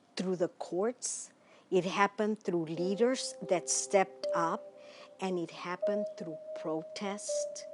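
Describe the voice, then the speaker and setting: Speaking slowly, very slowly, a woman with an American accent uses lively intonation. Background noise is noticeable. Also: medium pitch for a woman. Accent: Mexican American. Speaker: civil rights activist. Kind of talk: interview answer.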